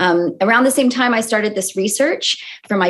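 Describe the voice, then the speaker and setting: Here a woman speaks at a moderate pace with ordinary pitch variation. She has a plain, everyday voice. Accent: American. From California, US. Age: 30s. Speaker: sociologist and author. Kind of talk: podcast interview.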